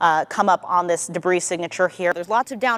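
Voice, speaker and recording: This is a woman with a normal speaking voice and medium pitch. She keeps a moderate pace. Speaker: TV meteorologist. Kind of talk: TV weather and severe storm coverage.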